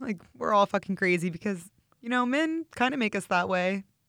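The speaker moves at a fairly quick pace in a Midwestern American accent. The recording is very clean, with a silent background. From St. Louis, Missouri. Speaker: meal prep business owner and model. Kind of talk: casual chat. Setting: Los Angeles. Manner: animated.

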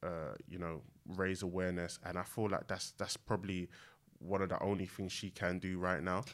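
In a very clean recording with a silent background, a man with a London accent speaks at a very deep, low pitch with monotone, flat intonation. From East London, Newham. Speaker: drinks brand co-founder. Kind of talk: casual chat. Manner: halting, many fillers.

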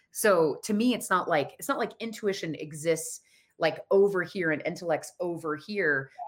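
A woman talks in a normal speaking voice at a moderate pace, medium in pitch with ordinary pitch variation. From Colorado. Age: 40s. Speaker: psychic and intuitive business coach. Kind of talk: interview.

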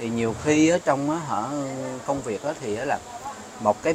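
The man has a fairly high pitch and a moderate pace. Noticeable background noise sits behind him. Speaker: marketing brand manager. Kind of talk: casual chat.

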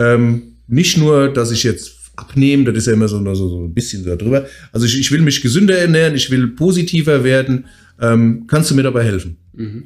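Lively intonation marks an unremarkable speaking voice moving at a moderate pace. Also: man, medium pitch for a man. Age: 40s. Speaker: fitness coach and podcast co-host. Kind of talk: casual chat. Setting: office.

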